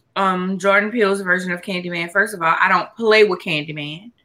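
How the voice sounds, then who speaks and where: A woman at medium pitch, in an ordinary speaking voice, shows ordinary pitch variation. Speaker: podcast host. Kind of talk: casual chat.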